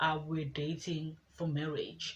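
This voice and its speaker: A woman speaks very slowly in a very deep, low voice that is somewhat breathy. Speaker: lifestyle vlogger. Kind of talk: casual vlog talk.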